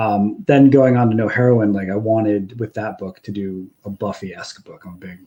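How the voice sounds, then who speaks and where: Fairly even intonation carries a voice with a dark, mellow tone. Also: man. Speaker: comic book writer. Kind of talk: interview. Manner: monotone.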